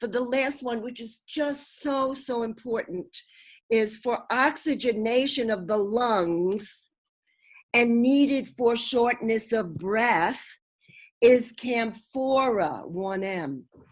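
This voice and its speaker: With a Brooklyn accent, a woman with a fairly high pitch talks with big swings in loudness and ordinary pitch variation over a quiet background. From US Northeast, Brooklyn. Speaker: homeopath and naturopath. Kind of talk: interview.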